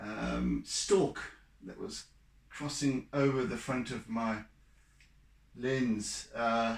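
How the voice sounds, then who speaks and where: A mumbling man at medium pitch, very slow, with long, frequent pauses and ordinary pitch variation. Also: big swings in loudness. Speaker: artist. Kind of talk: painting tutorial. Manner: mumbling, halting.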